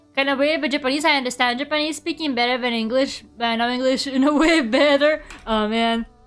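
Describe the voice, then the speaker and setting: Speaking at a very fast pace with hardly any pauses, a woman with a Russian accent keeps a high pitch, fairly even intonation and very even loudness. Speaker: vtuber artist streamer. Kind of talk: casual chat while drawing on stream. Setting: live stream. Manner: fast, sometimes blurring words.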